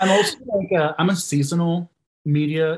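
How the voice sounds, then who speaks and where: A man speaks in a somewhat breathy voice. He has an American accent. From Texas. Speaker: podcast listener and supporter. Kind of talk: casual chat.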